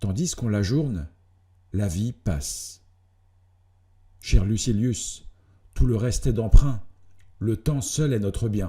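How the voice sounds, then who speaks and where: The voice is somewhat breathy with lively intonation. It moves at a very slow pace with long, frequent pauses. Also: man. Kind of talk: philosophical letter reading.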